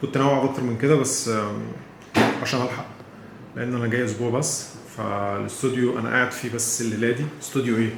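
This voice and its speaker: Someone with an Egyptian accent talks at a fairly quick pace in monotone, flat intonation. Audible room echo and noticeable background noise fill the recording. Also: man, medium pitch for a man. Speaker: travel vlogger. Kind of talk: travel vlog. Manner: casual, hesitant with fillers.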